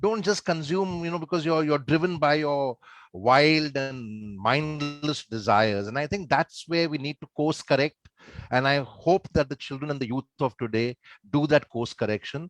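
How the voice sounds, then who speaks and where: A man with a fairly high pitch and an unremarkable speaking voice talks at a moderate pace with ordinary pitch variation. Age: 50s. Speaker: show host. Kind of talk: hosting a panel.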